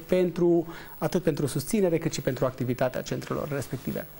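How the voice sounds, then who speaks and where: Here a man speaks in a dark, mellow tone. His pitch is fairly high for a man. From Romania. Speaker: entrepreneur and investor; guest. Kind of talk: TV interview. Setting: studio. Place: studio. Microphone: lapel.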